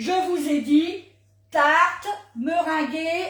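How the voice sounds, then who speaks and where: A woman speaks loudly. Her tone is animated. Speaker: cooking demonstrator. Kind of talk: live cooking demo. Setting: livestream.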